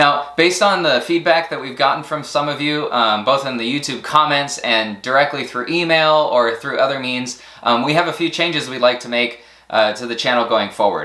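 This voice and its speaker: With noticeable background noise and audible room echo, a man with a fairly high pitch speaks at a moderate pace and ordinary pitch variation. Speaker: science camp educator and channel host. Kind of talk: channel update talk to camera. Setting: recorded to camera. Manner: hesitant with fillers and word-finding pauses.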